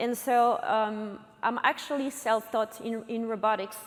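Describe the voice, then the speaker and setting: A woman speaks with a French accent. Her pitch is fairly high, and her pace is moderate. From France. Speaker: robotics company co-founder and CTO. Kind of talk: conference talk. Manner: halting, many fillers.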